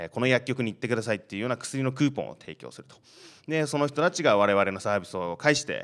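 Intonation is lively as a man talks at a very fast pace. His loudness swings in big ways. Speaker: startup founder; panelist. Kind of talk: panel discussion. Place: classroom. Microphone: handheld.

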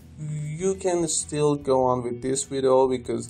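Music plays behind a man with a fairly high voice. He speaks very slowly with ordinary pitch variation. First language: not English. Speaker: software developer. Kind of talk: software tutorial narration. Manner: hesitant, many filler sounds.

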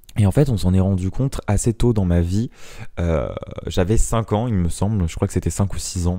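A man talks at a moderate pace in a fairly low pitch. His tone is dark and mellow, with ordinary pitch variation. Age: 20s. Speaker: podcaster. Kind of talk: casual monologue. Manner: halting.

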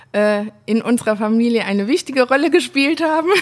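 A woman speaks with lively intonation. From Saar region, Germany. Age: 30s. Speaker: winemaker. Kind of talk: interview. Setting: at the winery.

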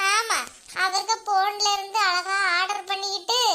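Extremely high-pitched put-on character voice from a woman. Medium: comedy sketch. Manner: chatty, conspiratorial.

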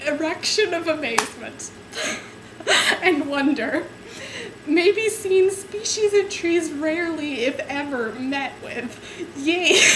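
Over noticeable background noise, a woman speaks very slowly at an extremely high pitch, with lively intonation and an amused tone. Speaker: amateur reader. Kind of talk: dramatic reading of a book to camera, giggling; casual talk to camera. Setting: home webcam recording. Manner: giggly, amused, stumbling over words. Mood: amused, suppressing giggles. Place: home room. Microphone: webcam.

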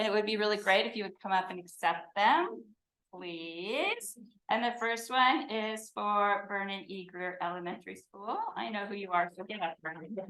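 Loud and bright, with a sharp tone, a woman speaks at a moderate pace. Her pitch varies in an ordinary way. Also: medium pitch for a woman. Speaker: education coordinator for waste company. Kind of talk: award presentation at board meeting. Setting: public board meeting. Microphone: microphone not working, speaking without it.

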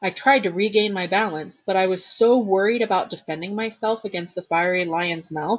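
Pitch varies in an ordinary way as someone reads in an unforced reading voice.

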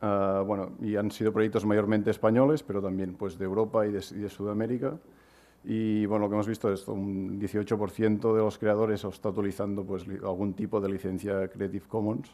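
A man's fairly low-pitched voice, dark and mellow in tone, with fairly even intonation. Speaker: crowdfunding platform co-founder; presenter. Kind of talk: conference talk. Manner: fast, hesitant with fillers. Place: hall. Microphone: podium.

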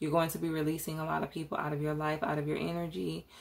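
A woman's unremarkable speaking voice, fairly low in pitch, with fairly even intonation. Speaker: tarot reader. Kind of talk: tarot reading commentary.

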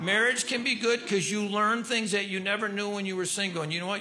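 Over light background noise, a man uses a raised, projected voice with ordinary pitch variation. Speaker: stand-up comedian. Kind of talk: stand-up comedy routine. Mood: dry, deadpan humor. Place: stage. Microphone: handheld.

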